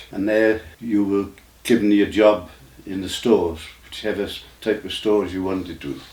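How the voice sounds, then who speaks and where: With an English accent, a man talks at a moderate pace in a fairly low pitch, his intonation fairly even, over audible room echo. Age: 90s. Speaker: army veteran. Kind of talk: interview. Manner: halting.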